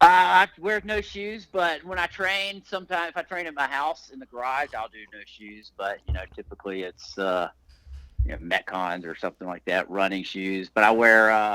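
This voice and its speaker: Big swings in loudness and very wide pitch swings mark this man's speech. His tone is bright and sharp, and the sound is dry and close with no echo. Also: medium pitch for a man. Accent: Southern US. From Alabama, US South. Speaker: breathwork and fitness coach. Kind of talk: podcast interview.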